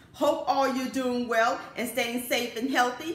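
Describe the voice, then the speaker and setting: In a room with audible echo, a woman speaks in a high voice at a fairly slow pace. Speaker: home cooking channel host. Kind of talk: cooking show intro. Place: home room. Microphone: camera far.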